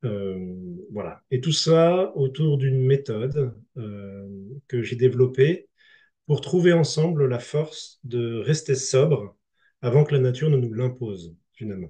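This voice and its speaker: A man with a medium-pitched, somewhat breathy, dark and mellow voice speaks at a very slow pace with lively intonation against a quiet background. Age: 30s. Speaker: speaker presenting a grassroots movement. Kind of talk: online conference talk; reading aloud his own text. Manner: hesitant, many fillers.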